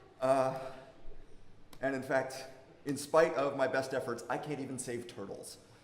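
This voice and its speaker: At a medium pitch and moderate pace, a man is heard with audible room echo and noticeable background noise. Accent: American. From United States. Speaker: academic researcher. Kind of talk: conference presentation. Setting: workshop talk with audience, amplified. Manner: loud.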